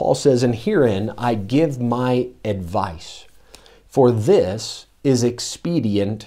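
A man's medium-pitched voice with a dark, mellow tone and lively intonation on a very clean recording with a silent background. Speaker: pastor. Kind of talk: sermon. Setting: church. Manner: halting.

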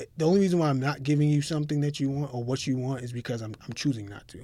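A man speaks at a very fast pace with a dark, mellow tone and ordinary pitch variation. The recording is very clean, with a silent background. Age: 30s. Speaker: lawyer who founded his own law firm. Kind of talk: casual interview.

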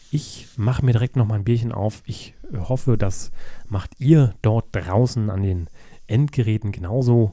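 A man's somewhat breathy, dark, mellow voice of medium pitch, at a fairly slow pace with ordinary pitch variation. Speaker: podcast co-host. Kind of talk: casual chat.

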